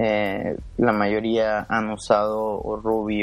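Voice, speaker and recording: Speaking very slowly at a fairly low pitch, a man keeps his intonation monotone and flat. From Mexico, Monterrey (Nuevo León). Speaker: software engineer. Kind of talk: podcast interview. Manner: halting.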